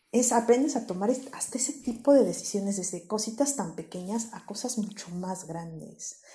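Her voice fairly high and somewhat breathy with a dark, mellow tone, a woman talks at a moderate pace with hardly any pauses, lively intonation and big swings in loudness. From Mexico, Querétaro. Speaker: psychologist. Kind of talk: interview.

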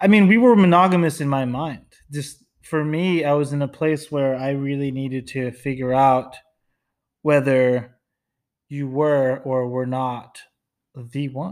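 This man has an ordinary speaking voice, fairly high in pitch with ordinary pitch variation, at a fairly slow pace. The recording is very clean, with a silent background. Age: 30s. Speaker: host's fiance. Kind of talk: casual chat.

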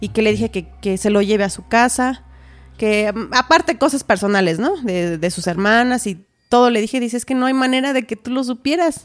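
In a very clean recording with a silent background, a woman with a Mexican accent talks at a fairly quick pace in a fairly high pitch with lively intonation. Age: 30s. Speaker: massage therapist and homemaker. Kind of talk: testimony.

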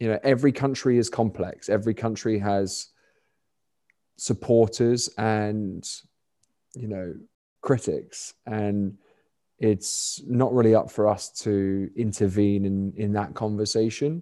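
A man with a London accent talks at a fairly slow pace with long, frequent pauses, his fairly low voice dark and mellow in tone. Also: fairly even intonation, quiet background. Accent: southern English (London). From London, England. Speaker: cricketer and nonprofit founder. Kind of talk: podcast interview.

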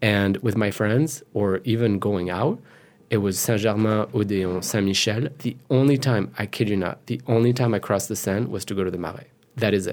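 With a French accent and a fairly low pitch, a man speaks with ordinary pitch variation on a very clean recording with a silent background. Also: moderate pace. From France, Paris suburbs. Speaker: moderator and photographer. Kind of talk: casual interview. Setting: studio.

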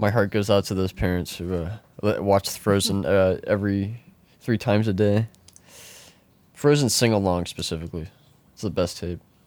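A man's fairly low voice with fairly even intonation, a moderate pace, and long, frequent pauses. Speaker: podcast co-host. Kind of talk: casual chat. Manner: halting, stumbling.

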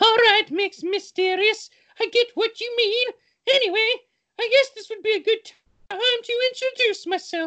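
Using a put-on character voice that sounds female, the speaker hits an extremely high pitch with an excited tone at a moderate pace. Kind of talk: comic overacting. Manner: excited, teasing, overacted.

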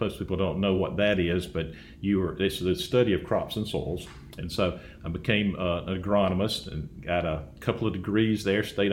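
In an Alabama accent, a man talks at a moderate pace with a very deep, low pitch and fairly even intonation, with audible room echo. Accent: US Southern (Alabama). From Alabama (Dothan). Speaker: agricultural researcher. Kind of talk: interview.

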